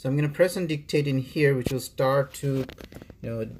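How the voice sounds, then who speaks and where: A somewhat breathy man of medium pitch speaks with a non-native accent. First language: not English. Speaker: tutorial maker. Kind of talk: tutorial. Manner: halting, many fillers.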